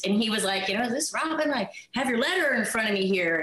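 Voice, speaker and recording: A woman with an American accent, audible room echo and noticeable background noise. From Washington State, island near Seattle. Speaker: former cheerleader and actor. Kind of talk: interview storytelling.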